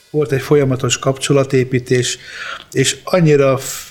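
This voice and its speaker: A man speaks at a medium pitch with monotone, flat intonation. Noticeable background noise runs under his voice. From Hungary, from age five (born in Apulia, Italy). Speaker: rock drummer. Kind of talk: interview storytelling.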